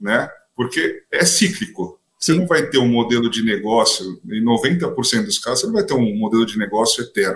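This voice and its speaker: Here a man talks at medium pitch. His pitch swings very widely. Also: moderate pace. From São Paulo, Brazil. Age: 30s. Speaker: startup co-founder, transport executive. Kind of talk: podcast interview.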